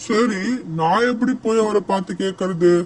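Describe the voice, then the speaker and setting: This man puts on a cartoonish character voice, pitched high and delivered at a fairly slow pace. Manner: blustering.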